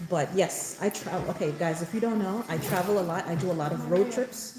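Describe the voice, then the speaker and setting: With noticeable background noise, a woman talks at a fairly quick pace at a medium pitch with ordinary pitch variation. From born in Jamaica, raised in New York. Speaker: mom content creator. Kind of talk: live stream chat. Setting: hair salon, live stream. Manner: loud.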